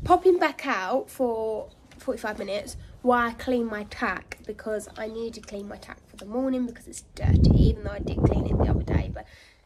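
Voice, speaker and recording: Amid noticeable background noise, a woman speaks at a moderate pace with ordinary pitch variation. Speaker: horse rider vlogger. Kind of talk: casual vlog chat. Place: farm machine. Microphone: phone near.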